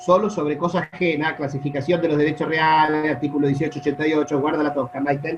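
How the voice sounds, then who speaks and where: With music in the background, a man with a fairly high pitch talks at a very fast pace. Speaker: law professor. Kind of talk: online lecture. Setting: video call. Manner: soft-spoken. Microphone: sometimes sounds quiet to students.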